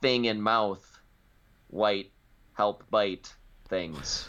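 A man uses a put-on character voice with a fairly low pitch. His intonation stays fairly even. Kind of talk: crude broken speech.

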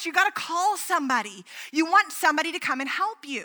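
A woman's raised, projected voice sits high in pitch, bright and sharp in tone, with very wide pitch swings. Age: 30s. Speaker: pastor. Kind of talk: sermon. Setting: church.

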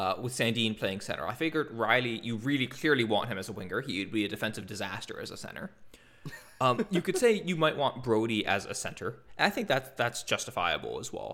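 A man talks at medium pitch in an ordinary speaking voice. His intonation is lively and his pace fairly quick. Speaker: hockey podcast host. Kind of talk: casual chat.

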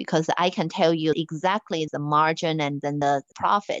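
A woman with a Chinese accent speaks in a fairly low pitch against a quiet background. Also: dry, close sound with no echo. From China. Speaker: finance executive. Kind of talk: interview.

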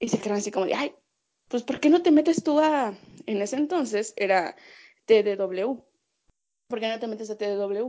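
With a Mexican accent, a woman speaks at a moderate pace. Her intonation is lively. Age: 20s. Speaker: sports journalist. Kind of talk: casual chat.

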